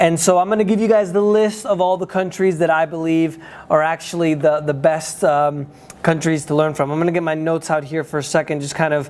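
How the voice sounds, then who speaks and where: The speaker has a Spanish accent. Background noise is noticeable. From United States. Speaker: day trading educator and travel vlogger. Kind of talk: casual vlog talk. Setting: indoors at trading office. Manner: halting, many fillers.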